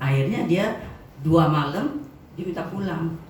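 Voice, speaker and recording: Noticeable background noise and audible room echo surround a woman talking at a moderate tempo. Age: 70s. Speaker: customer giving product testimonial. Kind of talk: testimony. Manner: animated.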